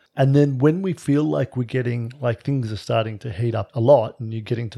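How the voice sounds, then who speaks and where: Speaking with an Australian accent, a man talks at a moderate pace in a medium pitch with ordinary pitch variation. His tone is dark, mellow and somewhat breathy, in a very clean recording with a silent background. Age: 50s. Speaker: relationship podcast co-host. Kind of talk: casual chat. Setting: at home.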